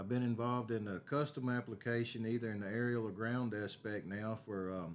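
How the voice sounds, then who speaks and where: Speaking with a Texan accent, a man talks at a fairly quick pace and medium pitch with fairly even intonation, recorded very cleanly over a silent background. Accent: Texan Southern American. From Northeast Texas. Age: 60s. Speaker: city council candidate and aerial applicator. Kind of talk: interview. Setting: at home.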